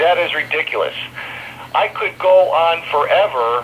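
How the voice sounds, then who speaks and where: A man's voice amid noticeable background noise. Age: 50s. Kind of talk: interview answer. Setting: phone line.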